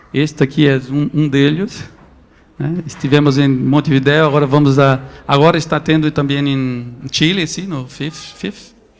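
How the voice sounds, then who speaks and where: Music plays in the background as a man speaks at a fairly slow pace. His pitch is fairly high, with fairly even intonation. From Brazil, Northeast. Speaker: photo book editor. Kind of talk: talk to an audience. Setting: stage with audience at a photo book festival. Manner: halting, with repetitions.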